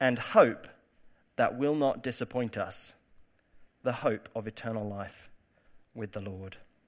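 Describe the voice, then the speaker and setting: On a very clean recording with a silent background, a man with a British accent speaks fairly slowly at a medium pitch, his intonation fairly even but his loudness swinging widely, with long, frequent pauses. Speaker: preacher giving a church sermon. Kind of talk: sermon. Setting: church.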